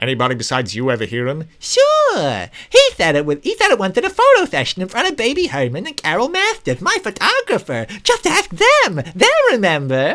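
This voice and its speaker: A man performs a put-on character voice with a nervous tone. He speaks at a fairly quick pace. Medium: read story. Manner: eager, nervous.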